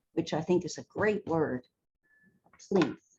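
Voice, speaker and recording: A woman speaks somewhat breathily with ordinary pitch variation. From Baltimore, Maryland, US. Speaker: theater costume designer. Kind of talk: interview conversation.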